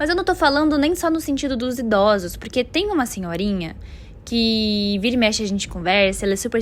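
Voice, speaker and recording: Her voice is high in pitch as this woman talks at a fairly quick pace with very wide pitch swings. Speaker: vlogger. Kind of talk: casual vlog monologue.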